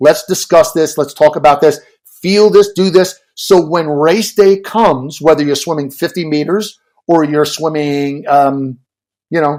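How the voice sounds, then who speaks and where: A man speaks in a normal speaking voice, fairly high in pitch, at a fairly slow pace with ordinary pitch variation. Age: 60s. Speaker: swim coach and author. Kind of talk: podcast interview.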